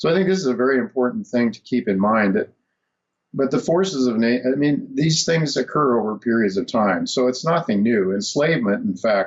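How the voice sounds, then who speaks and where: A man with an American accent talks at medium pitch and a fairly quick pace, his pitch swinging very widely. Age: 70s. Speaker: financial radio show host. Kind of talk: interview. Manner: halting, many fillers.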